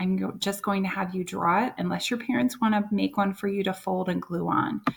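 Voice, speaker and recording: Her voice is somewhat breathy and medium in pitch. This woman talks at a moderate pace with ordinary pitch variation. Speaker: first-grade teacher. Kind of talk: tutorial.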